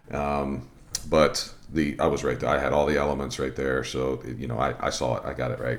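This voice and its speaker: The delivery is monotone and flat at a moderate pace, with audible room echo and noticeable background noise. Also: man, very deep, low pitch for a man. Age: 50s. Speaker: softball umpire, podcast co-host. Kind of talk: casual instructional chat. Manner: halting, many fillers and repeats.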